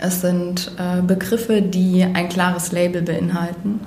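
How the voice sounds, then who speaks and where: At a fairly slow pace, a woman speaks in a fairly low pitch amid noticeable background noise and audible room echo. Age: 20s. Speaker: criminologist and mediator. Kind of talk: interview. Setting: makeshift room, not a studio. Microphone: far from the mic, leaning back.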